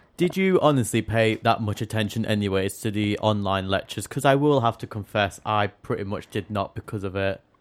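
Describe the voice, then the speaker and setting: Recorded very cleanly against a silent background, a man with an English accent and a fairly low pitch speaks at a fairly quick pace with ordinary pitch variation and hardly any pauses. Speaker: theatre student and podcast co-host. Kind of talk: casual chat. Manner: fast talker; stumbles over words.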